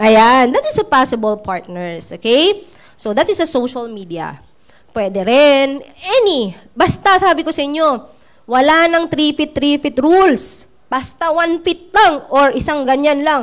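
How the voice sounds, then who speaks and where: The voice swings very widely in pitch with an animated tone at a fairly slow pace. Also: woman, high pitch for a woman. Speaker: network marketing trainer. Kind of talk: training talk.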